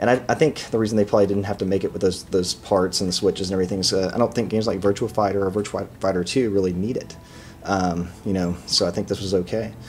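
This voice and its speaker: An American-accented man with a fairly low pitch, talking very fast over noticeable background noise. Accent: Texan, noticeable at times. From Texas. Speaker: video game reviewer. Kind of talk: casual product review vlog. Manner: casual, many filler words.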